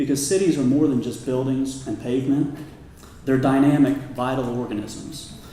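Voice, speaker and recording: Recorded with noticeable background noise and audible room echo, a man with an American accent talks at a moderate pace and a medium pitch. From Kansas. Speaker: commercial real estate advisor. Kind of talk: public talk.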